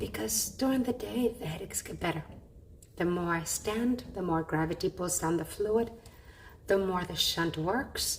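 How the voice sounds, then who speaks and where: Vocal fry from a woman at a fairly slow pace, with very wide pitch swings. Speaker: patient vlogger. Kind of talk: personal vlog. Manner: effortful speech.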